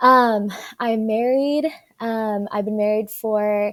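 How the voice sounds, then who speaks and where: A woman with an American accent, fairly high in pitch, with ordinary pitch variation, on a very clean recording with a silent background. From Dallas-Fort Worth, Texas. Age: 20s. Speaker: adoptee sharing her story, grad student. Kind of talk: interview conversation. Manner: hesitant, many fillers.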